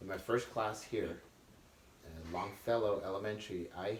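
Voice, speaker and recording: With audible room echo, a man speaks at a fairly slow pace and fairly low pitch, his intonation fairly even. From Netherlands, moved to US at about nine. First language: Dutch. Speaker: immigrant interviewee. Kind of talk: casual interview.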